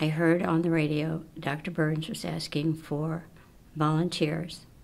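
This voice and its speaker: A woman speaks in a very deep, low pitch with monotone, flat intonation. Audible room echo surrounds her voice. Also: fairly slow pace. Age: 80s+. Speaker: research volunteer. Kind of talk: interview testimony.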